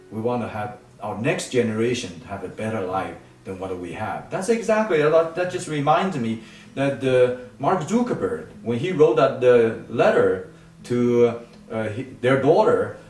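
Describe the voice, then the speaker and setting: A medium-pitched man at a fairly slow pace, with very wide pitch swings, big swings in loudness, audible room echo and noticeable background noise. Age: 70s. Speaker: nonprofit foundation leader. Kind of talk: interview. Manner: halting, many fillers and restarts.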